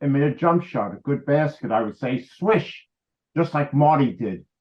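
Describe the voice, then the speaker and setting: A man with a New York accent at a medium pitch, a moderate pace and ordinary pitch variation. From New York City (the Bronx). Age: 70s. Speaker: history professor and biographer. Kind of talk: interview. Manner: animated storytelling.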